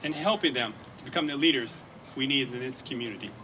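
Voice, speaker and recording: A man talks at a fairly quick pace with lively intonation. Noticeable background noise sits behind him. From Detroit, Michigan. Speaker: hospital executive. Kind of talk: ceremonial speech.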